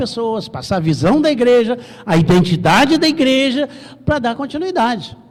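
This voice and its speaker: A man's high voice at a moderate pace, with very wide pitch swings and noticeable background noise. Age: 60s. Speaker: pastor. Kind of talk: sermon.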